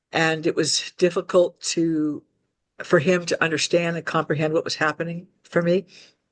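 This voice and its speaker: The speech moves at a moderate pace in a dry, close recording with no echo. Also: woman. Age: 60s. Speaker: alien contactee. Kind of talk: interview testimony. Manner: halting, with fillers.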